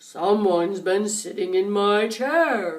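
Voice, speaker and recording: Someone performs a put-on character voice at a fairly slow pace, with audible echo. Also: woman. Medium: read story.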